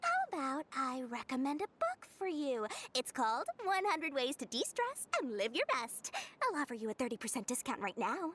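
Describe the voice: Putting on a character voice, a woman speaks high and fairly bright at a moderate pace, her pitch swinging very widely.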